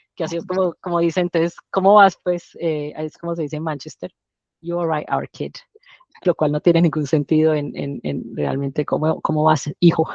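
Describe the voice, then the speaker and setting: A woman speaks at a moderate pace in a very deep, low voice with fairly even intonation, recorded dry and close with no echo. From Colombia. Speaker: doctor. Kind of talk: interview. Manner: halting.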